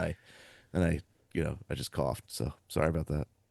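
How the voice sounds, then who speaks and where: A man speaks at a fairly quick pace with a very deep, low pitch and vocal fry. The sound is dry and close with no echo, over a quiet background. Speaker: podcast co-host, publisher and author. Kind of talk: casual chat.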